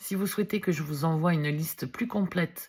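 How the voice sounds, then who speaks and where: On a very clean recording with a silent background, a woman speaks at a fairly low pitch and a moderate pace, with ordinary pitch variation. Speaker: wellness video blogger, reflexology practitioner. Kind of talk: vlog explainer. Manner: loud.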